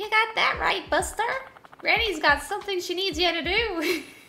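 At a moderate pace, a female-sounding put-on character voice speaks at an extremely high pitch. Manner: bossy, demanding.

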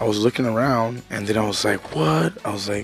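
A man speaks at a fairly quick pace. The sound is dry with no echo, with light background noise. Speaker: toy collector vlogger. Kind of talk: casual vlog chat. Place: home room. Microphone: headset.

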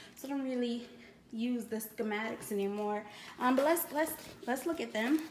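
A woman's high voice with ordinary pitch variation, long and frequent pauses, and noticeable background noise. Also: moderate pace. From Louisiana. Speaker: YouTuber, crafting hobbyist; YouTuber. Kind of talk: product unboxing video. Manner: casual, chatty with fillers. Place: home room. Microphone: phone near.

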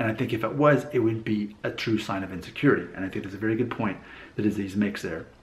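Speaking fairly quickly with an American accent, a man has a somewhat breathy, medium-pitched voice and ordinary pitch variation. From US South, Alabama. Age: 30s. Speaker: YouTuber. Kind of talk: casual vlog commentary. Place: home room. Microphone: webcam.

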